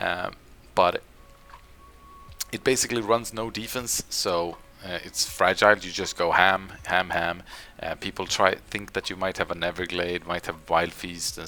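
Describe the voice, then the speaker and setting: Pausing long and often, a man with a very deep, low pitch speaks at a moderate pace with fairly even intonation over noticeable background noise. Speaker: gaming content creator. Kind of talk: casual video commentary. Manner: quieter than usual, low volume; hesitant, many fillers.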